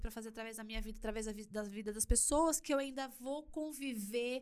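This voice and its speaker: With an animated tone and a fairly high pitch, a woman talks at a fairly quick pace. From Brazil, São Paulo city (Perus). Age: 40s. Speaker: church youth leader and influencer. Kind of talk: casual interview chat. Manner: animated, laughs often.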